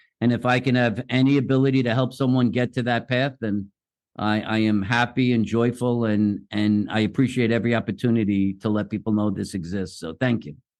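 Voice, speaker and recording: A man speaks at a medium pitch with fairly even intonation. His is an unremarkable speaking voice. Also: fairly quick pace. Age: 60s. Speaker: pain treatment doctor and author. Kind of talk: podcast interview.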